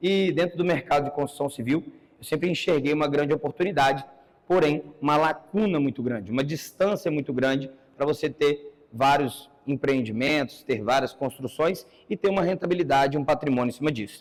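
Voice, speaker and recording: Fairly quick delivery from a man with an ordinary speaking voice, his pitch fairly high and its variation ordinary. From Brazil, São Paulo ABC region. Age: 30s. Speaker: entrepreneur giving a talk. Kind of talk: conference talk.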